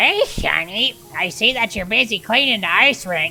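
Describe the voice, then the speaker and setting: A put-on character voice, female-sounding, at medium pitch for a woman and a moderate pace. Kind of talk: folksy, friendly. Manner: cheerful, encouraging.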